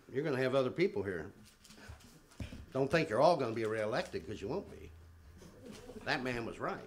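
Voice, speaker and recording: A medium-pitched male voice with very wide pitch swings, amid audible room echo and noticeable background noise. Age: 60s. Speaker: public commenter at city council meeting. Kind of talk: public comment speech. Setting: city council chamber.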